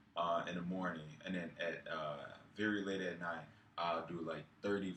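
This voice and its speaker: Very deep, low-pitched man's voice at a moderate pace, with audible room echo. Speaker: fitness vlogger. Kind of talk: casual vlog monologue. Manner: halting, many fillers.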